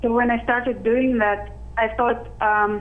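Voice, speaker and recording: With audible room echo, a woman talks in a flat monotone at a fairly slow pace and fairly high pitch. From Arctic Siberia, Russia. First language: Russian or Sakha language. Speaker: youth citizen scientist. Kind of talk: interview. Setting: video call.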